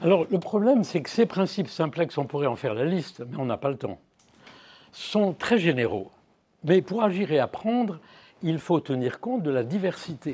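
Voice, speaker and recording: A man speaks at a moderate pace in a high-pitched voice with a dark, mellow tone. His pitch swings very widely, and he leaves long, frequent pauses. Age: 80s+. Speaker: neuroscientist professor. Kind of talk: lecture. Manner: halting.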